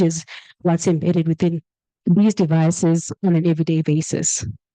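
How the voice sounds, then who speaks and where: A woman at a fairly low pitch and fairly quick pace, dark and mellow in tone, with a dry, close sound and no echo. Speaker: workshop presenter. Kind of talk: lecture. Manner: fast.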